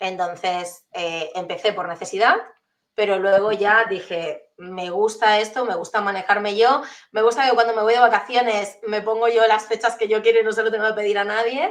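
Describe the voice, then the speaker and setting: At a moderate pace, a plain, everyday voice delivers the words with fairly even intonation. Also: woman, fairly high pitch for a woman. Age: 30s. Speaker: entrepreneur and transformation coach. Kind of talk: interview conversation.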